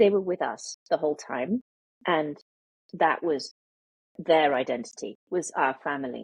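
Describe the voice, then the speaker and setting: A woman with a British accent speaks at a fairly slow pace with long, frequent pauses. Her very deep, low pitch carries lively intonation in a dry, close sound with no echo. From international childhood, UK boarding school. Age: 50s. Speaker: memoirist. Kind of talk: interview. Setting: podcast.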